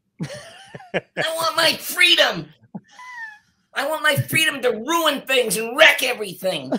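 A man puts on a character voice, pitched extremely high, speaking at a fairly slow pace.

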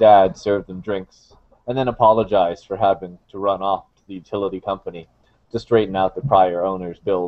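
Someone reads aloud here in a natural voice.

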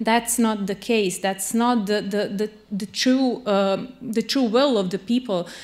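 Speaking fairly slowly with fairly even intonation, a woman with a Serbian accent uses a fairly high pitch. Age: 30s. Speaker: lawyer and human rights activist; lawyer. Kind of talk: panel discussion. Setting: stage with audience. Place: hall. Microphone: handheld.

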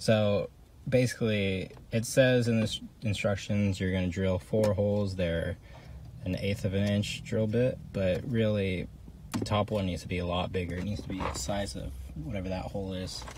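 Somewhat breathy and fairly low-pitched, a man talks with ordinary pitch variation in a dry sound with no echo and noticeable background noise. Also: moderate pace. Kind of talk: tutorial. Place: car.

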